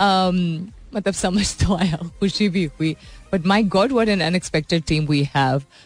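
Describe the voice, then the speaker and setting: Over music in the background, a woman speaks at a moderate pace and medium pitch with ordinary pitch variation. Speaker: radio host. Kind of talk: radio morning show chat. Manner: chatty, code-switching Urdu and English.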